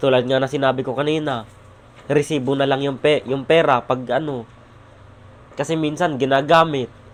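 At a moderate pace, a man with a fairly high pitch talks in a monotone, flat way, leaving long, frequent pauses. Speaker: vlogger. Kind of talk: vlog monologue. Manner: raised voice; halting.

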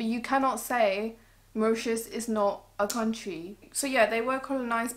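With a British accent, a woman speaks at a fairly slow pace with ordinary pitch variation. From England. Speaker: beauty YouTuber. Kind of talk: casual chat. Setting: living room at home. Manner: frequent filler words. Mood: opinionated, slightly sassy. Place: home room. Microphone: camera far.

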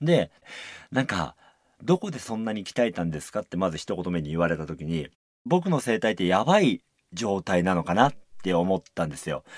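Against a quiet background, a man speaks at a very deep, low pitch in a dry sound with no echo. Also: lively intonation, moderate pace. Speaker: musical actor and radio host; musical actor, radio host. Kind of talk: radio talk show. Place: studio.

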